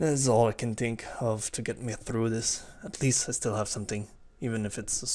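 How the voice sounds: A natural reading voice keeps its intonation fairly even.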